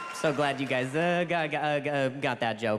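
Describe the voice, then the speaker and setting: A man talks at a moderate pace and a fairly high pitch while noticeable background noise carries on. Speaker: stand-up comedian. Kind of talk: stand-up. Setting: stage with audience. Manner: repetitive halting delivery.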